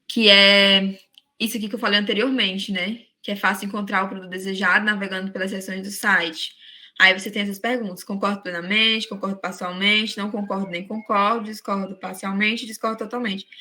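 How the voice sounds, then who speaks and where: A woman speaks fairly quickly in a bright, sharp tone at a medium pitch. Her intonation is flat and monotone, while her loudness swings widely. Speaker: teacher. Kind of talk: lecture.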